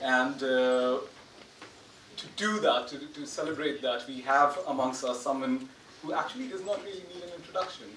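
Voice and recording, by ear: In a room with audible echo, a man at medium pitch talks at a moderate pace with ordinary pitch variation and a fairly bright tone.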